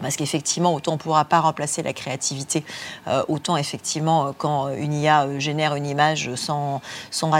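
Talking at a fairly quick pace, a woman keeps her very deep, low pitch in a flat, monotone line. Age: 40s. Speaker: executive recruiter and future-of-work specialist. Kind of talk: interview at a student conference. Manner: repeats words when searching.

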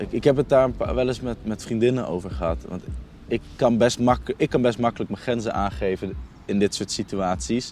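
The man's voice sits at a medium pitch and carries vocal fry. He speaks at a moderate pace with ordinary pitch variation. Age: 20s. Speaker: youth worker. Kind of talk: casual conversation. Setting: outdoors, walking through the city. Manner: halting.

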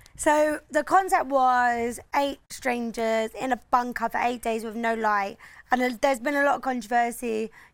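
Speaking in a southern English accent, a woman uses a high pitch with ordinary pitch variation. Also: fairly slow pace, very clean recording, silent background. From England, Oxford. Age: 20s. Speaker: reality TV contestant. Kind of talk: casual chat. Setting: Ibiza.

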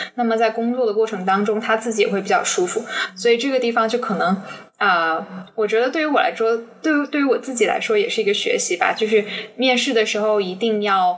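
Very fast, lively-intoned speech amid noticeable background noise. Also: woman, fairly high pitch for a woman. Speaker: business graduate student, former intern. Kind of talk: interview.

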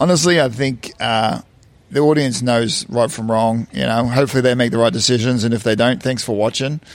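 A man's ordinary speaking voice, medium in pitch, at a fairly quick pace with ordinary pitch variation. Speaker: reality TV cast member. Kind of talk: casual interview.

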